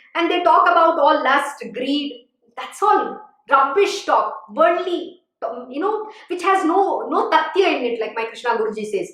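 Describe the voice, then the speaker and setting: The speech moves at a fairly slow pace with very wide pitch swings, and audible room echo. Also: woman, extremely high pitch for a woman. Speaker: spiritual teacher. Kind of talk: religious discourse. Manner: animated.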